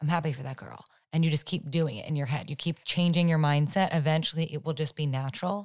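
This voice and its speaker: A woman's very deep, low voice, somewhat breathy, at a very fast pace with fairly even intonation, on a very clean recording against a silent background. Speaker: podcast co-host. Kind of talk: casual chat.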